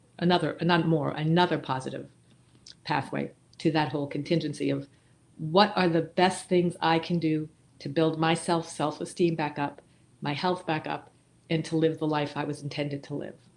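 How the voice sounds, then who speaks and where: A woman speaks at a moderate pace with a very deep, low pitch and vocal fry. Her intonation is monotone and flat, on a very clean recording with a silent background. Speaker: massage therapist, recovery nonprofit founder. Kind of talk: interview. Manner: stuttering at times.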